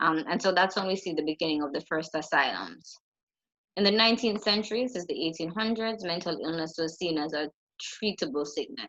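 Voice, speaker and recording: A normal speaking voice from a woman, fairly low in pitch, with ordinary pitch variation and a fairly quick pace. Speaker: psychology lecturer. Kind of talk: lecture.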